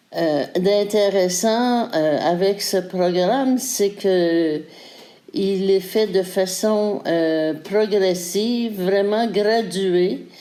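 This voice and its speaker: A woman's medium-pitched voice with a dark, mellow tone, at a very slow pace with ordinary pitch variation and very even loudness. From Quebec. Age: 60s. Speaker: fitness program participant. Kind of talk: testimony. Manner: hesitant, many fillers.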